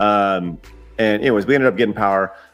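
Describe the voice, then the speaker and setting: Over music in the background, a man speaks at a fairly quick pace with ordinary pitch variation. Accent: American. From Texas. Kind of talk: casual conversation.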